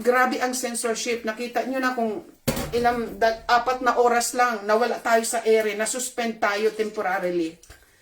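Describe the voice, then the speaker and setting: Noticeable background noise sits behind a woman whose fairly high voice moves at a moderate pace and keeps a fairly even intonation. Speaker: channel host, commentator. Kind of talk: online commentary video. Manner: emotional, agitated.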